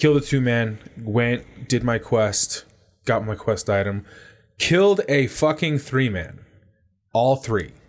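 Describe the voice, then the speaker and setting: Lively intonation from a man at a medium pitch, very slow pace with long, frequent pauses, very clean recording and silent background. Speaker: podcast host. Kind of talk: casual banter, gaming and guns chat.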